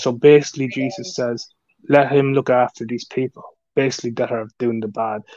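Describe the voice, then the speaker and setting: A man with an Irish accent at a fairly quick pace, ordinary pitch variation. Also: medium pitch for a man. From Ireland. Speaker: YouTuber. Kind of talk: live stream chat. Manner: halting.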